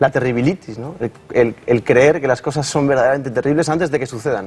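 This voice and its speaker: At a very fast pace, a man talks in a somewhat breathy, medium-pitched voice with ordinary pitch variation. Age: young. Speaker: psychologist and speech therapist. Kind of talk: TV interview. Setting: TV studio. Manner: halting, repeated syllables.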